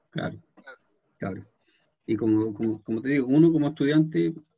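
A man speaks in a Chilean accent with a dark, mellow tone and ordinary pitch variation. His pace is fairly quick over a quiet background. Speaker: programming teacher. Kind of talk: lecture; online class lecture and chat. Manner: halting. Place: home room. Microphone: webcam.

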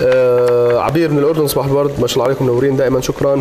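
A man rattles off his words very fast in a flat monotone, with light noise behind him. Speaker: TV show host. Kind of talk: reading viewer messages on air. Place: studio. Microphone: lapel.

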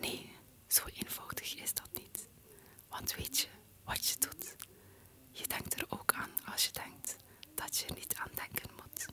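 The speech is whispered. It moves at a very slow pace, with long, frequent pauses. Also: woman. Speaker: poetry reciter. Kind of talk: poetry reading. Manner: whispered, ASMR style. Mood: calm, playful, smiling. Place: home room. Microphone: studio mic.

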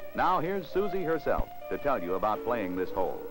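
Pitch swings very widely at a moderate pace. Music plays in the background. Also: man. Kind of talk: vintage TV commercial narration. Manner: polished, promotional announcer delivery.

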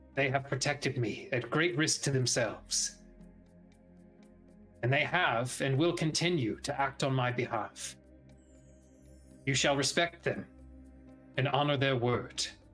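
Faint music plays in the background as someone uses a put-on character voice with long, frequent pauses. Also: man, medium pitch for a man, moderate pace. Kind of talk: formal Shakespearean address. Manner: regal, measured, a little tense.

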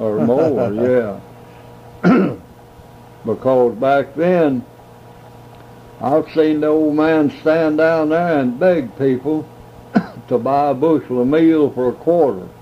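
Over noticeable background noise, a man with a Southern US accent speaks at a very slow pace with long, frequent pauses. His pitch is fairly high with ordinary variation, and his loudness stays very even. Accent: rural Southern American. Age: 80s+. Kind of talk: interview answer.

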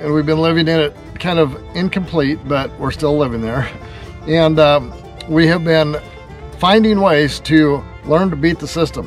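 A man at a moderate pace with fairly even intonation and long, frequent pauses, in a dry sound with no echo and faint music in the background. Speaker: homesteading vlogger. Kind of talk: casual vlog chat. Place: garden. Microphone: phone near.

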